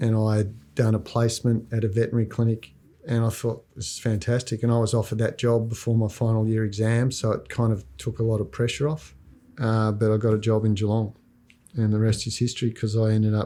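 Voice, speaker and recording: Talking at a very fast pace with an Australian accent, a man uses a medium pitch, a dark, mellow tone and fairly even intonation in a very clean recording with a silent background. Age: 60s. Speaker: veterinarian. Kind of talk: documentary interview. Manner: casual, relaxed.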